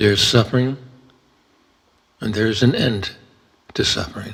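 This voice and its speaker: At a moderate pace, a man speaks in a calm tone with a fairly low, somewhat breathy voice. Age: 70s. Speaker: retired entrepreneur. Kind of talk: reflective talk on Buddhism and aging. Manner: calm, reflective.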